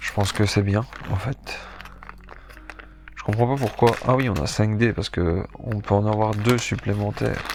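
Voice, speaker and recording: A man at a fairly low pitch and fairly slow pace, with fairly even intonation, long, frequent pauses and noticeable background noise. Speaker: board game youtuber. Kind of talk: casual game presentation. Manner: hesitant, many fillers.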